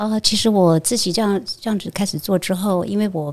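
In an ordinary speaking voice, a woman talks at a fairly quick pace with ordinary pitch variation on a very clean recording with a silent background. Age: 60s. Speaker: Buddhist monastic. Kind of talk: interview conversation.

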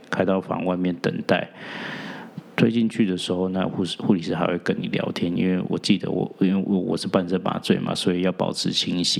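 This man's voice sits at a very deep, low pitch. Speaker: podcast host and real estate agent. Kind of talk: personal storytelling monologue.

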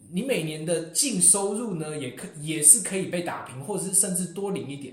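A man speaks quickly in a high voice with lively intonation. Audible echo fills the room. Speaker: international graduate student. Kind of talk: casual chat.

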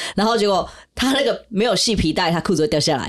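A woman speaks at a very fast pace with lively intonation. The recording is very clean, with a silent background. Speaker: podcast host and esports team staff. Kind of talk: casual chat.

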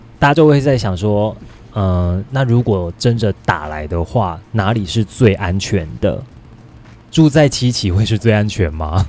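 A man with a Taiwanese accent speaks at a fairly slow pace. His pitch is fairly low, and his intonation is lively. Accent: Taiwanese Mandarin. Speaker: real estate podcast host. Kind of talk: casual chat.

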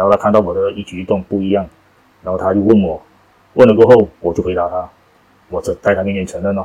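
A man's fairly low, monotone voice, very fast in pace yet broken by long, frequent pauses, with flat intonation. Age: 40s. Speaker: rehab center deputy director, former drug user. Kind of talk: testimony.

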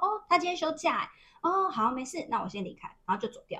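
A woman projects her raised voice with a bright, sharp tone. Her pitch swings very widely. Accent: Taiwanese. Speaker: podcast co-host, former telecom store worker. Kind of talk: casual chat.

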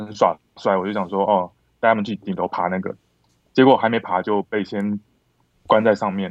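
Against a quiet background, a man with a fairly low voice talks at a fairly quick pace with long, frequent pauses, the sound dry and close with no echo. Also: fairly even intonation, big swings in loudness. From Taiwan, born Kinmen, raised Longtan and north. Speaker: film director. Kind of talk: casual chat.

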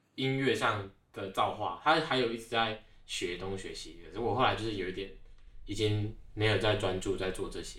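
Speaking at a fairly quick pace, a man shows big swings in loudness, with audible room echo around him. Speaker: graduate student. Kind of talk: casual interview.

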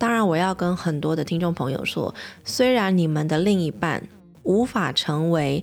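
With a Taiwanese accent, a woman talks at a moderate pace in a fairly low pitch. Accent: Taiwanese Mandarin. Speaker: podcast host and pediatrician. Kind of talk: casual monologue podcast.

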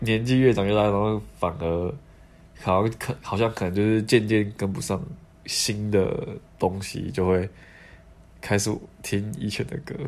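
A man with a Taiwanese accent speaks at a fairly low pitch and a fairly slow pace, leaving long, frequent pauses. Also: ordinary pitch variation. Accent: Taiwanese Mandarin. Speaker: podcast host. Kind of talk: casual chat.

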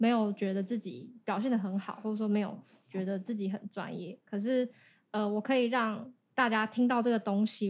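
A somewhat breathy voice at a fairly quick pace with fairly even intonation, on a very clean recording with a silent background. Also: woman. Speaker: singer and YouTuber. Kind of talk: casual interview.

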